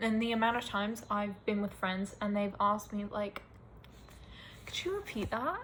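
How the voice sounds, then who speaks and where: Somewhat breathy and fairly high in pitch, a woman speaks at a moderate pace with monotone, flat intonation. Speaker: vlogger. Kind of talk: casual rant to camera.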